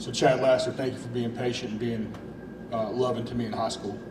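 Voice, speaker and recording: Speaking in an East Tennessee accent over noticeable background noise and audible room echo, a man talks fairly quickly at a medium pitch with monotone, flat intonation. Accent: East Tennessee Southern US. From Louisiana, then East Tennessee. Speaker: high school football coach. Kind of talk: emotional press conference speech. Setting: school event with audience. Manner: halting.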